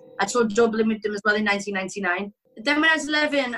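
Her tone is bright and sharp, her pitch fairly high for a woman. She speaks at a fairly quick pace with ordinary pitch variation. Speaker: former performer, author. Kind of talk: interview. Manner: energetic. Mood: candid, reflective about hard past. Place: home room. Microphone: webcam.

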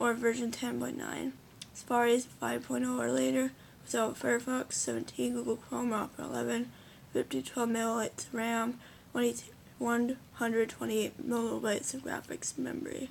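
Light background noise behind a woman at a moderate pace. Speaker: gamer explaining computer specs. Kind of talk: casual talk to camera. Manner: hesitant, filler-heavy. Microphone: phone near.

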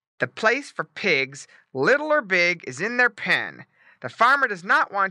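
At a moderate pace, a fairly high-pitched, growling put-on character voice carries the lines. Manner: growling, scolding.

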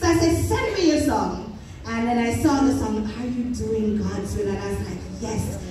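Audible room echo surrounds a woman who talks at a moderate pace in a fairly high pitch with ordinary pitch variation.

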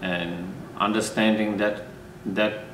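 Amid noticeable background noise, a man speaks fairly slowly with fairly even intonation. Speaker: monk teacher. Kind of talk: interview answer. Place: home room.

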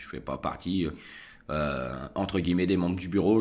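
Speaking at a fairly quick pace, a man with a very deep, low pitch shows vocal fry. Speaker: vlogger. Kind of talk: casual vlog monologue. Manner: hesitant, many fillers. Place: home room. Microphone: phone near.

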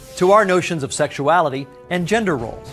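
The speech moves at a fairly quick pace over music in the background. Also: man. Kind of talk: course promo narration.

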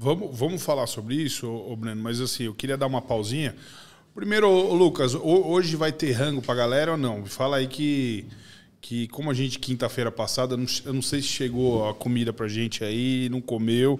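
This man talks at a moderate pace and medium pitch. His pitch variation is ordinary. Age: 40s. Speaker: podcast host. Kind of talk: casual chat. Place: studio. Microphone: studio mic.

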